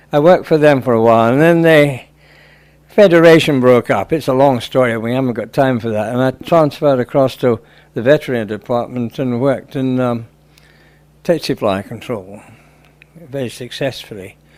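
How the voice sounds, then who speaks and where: Here a man with a British accent speaks at a medium pitch. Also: ordinary pitch variation, moderate pace. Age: 80s+. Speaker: convert to Islam who completed hajj. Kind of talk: interview answer.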